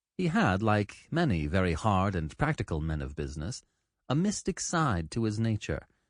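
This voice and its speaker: Against a quiet background, a man with a fairly low voice swings his pitch very widely. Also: moderate pace. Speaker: audiobook narrator. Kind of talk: audiobook narration.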